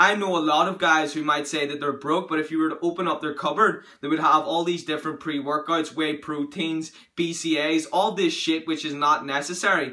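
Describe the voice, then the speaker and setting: Hardly pausing, a man speaks at a fairly quick pace. His fairly high voice stays monotone and flat. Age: young. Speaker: bodybuilder. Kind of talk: casual talk to camera.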